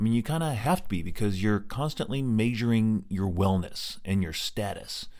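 An ordinary speaking voice with an American accent, at a fairly quick pace. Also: man. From Colorado. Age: 40s. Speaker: podcast host living with MS. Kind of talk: personal monologue.

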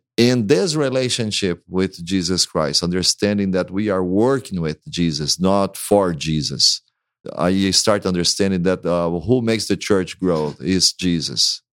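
Speech comes at a fairly slow pace in a Brazilian accent, with ordinary pitch variation. The sound is dry and close with no echo, on a very clean recording with a silent background. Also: man, very deep, low pitch for a man. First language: Portuguese. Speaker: pastor. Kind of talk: interview conversation.

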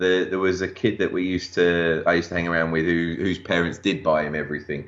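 A man with an English accent speaks at a very deep, low pitch. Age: 40s. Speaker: toy collector and display accessory maker. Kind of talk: casual interview.

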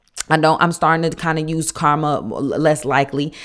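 At a moderate pace, a woman talks in a very deep, low voice on a very clean recording with a silent background. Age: 30s. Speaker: podcast host and nurse. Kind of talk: casual solo podcast talk on faith and life. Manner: conversational with frequent fillers.

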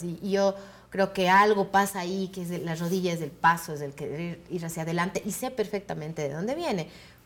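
A woman at medium pitch talks at a fairly quick pace in a plain, everyday voice. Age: 40s. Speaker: actress and comedian. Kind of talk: interview.

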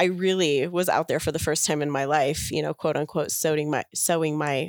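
With a very deep, low pitch, a woman speaks at a moderate pace with fairly even intonation and hardly any pauses. The recording is very clean with a silent background. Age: 40s. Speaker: guest, cuckoldress. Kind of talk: interview. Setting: in person.

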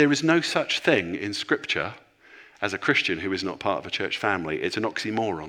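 Over a very clean recording with a silent background, a man with a fairly low pitch and a bright, sharp tone talks at a fairly quick pace with very wide pitch swings. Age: 50s. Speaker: senior pastor. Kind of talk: sermon.

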